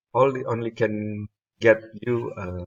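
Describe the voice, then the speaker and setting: Speaking with a non-native accent, a man shows ordinary pitch variation. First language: not English. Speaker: spreadsheet tutorial creator. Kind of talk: tutorial. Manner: halting, many fillers.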